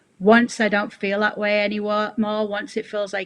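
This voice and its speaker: Against noticeable background noise, a woman talks at a moderate pace and a medium pitch. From northern England, Middlesbrough. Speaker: football TV presenter. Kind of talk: interview.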